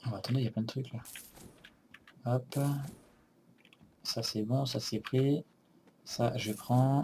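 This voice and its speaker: A man speaks at a very slow pace, with long, frequent pauses, in a dark, mellow tone. His voice is somewhat breathy, medium in pitch, and monotone and flat. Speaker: let's play gamer. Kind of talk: gameplay commentary.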